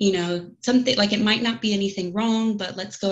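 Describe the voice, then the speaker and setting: With fairly even intonation, a woman talks in a somewhat breathy voice. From United States. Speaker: podcast guest sharing miscarriage story. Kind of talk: personal testimony in casual interview.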